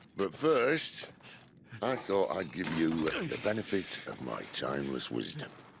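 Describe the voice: Using a put-on character voice, a man speaks low and fairly slowly, with vocal fry and big pitch swings.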